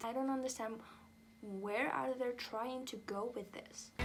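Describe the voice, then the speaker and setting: A woman's speech moves fairly slowly, its pitch varying in an ordinary way. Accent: non-native. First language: not English. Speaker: music reviewer. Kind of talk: casual review vlog.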